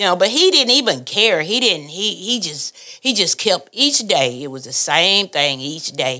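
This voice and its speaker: In a bright, sharp voice, a woman speaks at a moderate pace with very wide pitch swings and big swings in loudness. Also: medium pitch for a woman. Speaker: family member. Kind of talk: storytelling.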